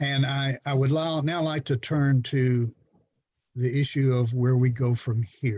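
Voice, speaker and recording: Against a quiet background, a man with a medium-pitched, somewhat breathy voice and a dark, mellow tone speaks at a fairly slow pace, with fairly even intonation and very even loudness. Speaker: judge. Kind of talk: court hearing. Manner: informal.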